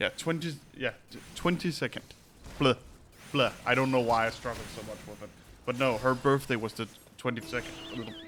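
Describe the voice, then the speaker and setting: Noticeable background noise sits behind a man speaking at a medium pitch and moderate pace. His loudness swings widely, his pitch varies in an ordinary way, and he leaves long, frequent pauses. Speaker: streamer. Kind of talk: casual chat. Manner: halting.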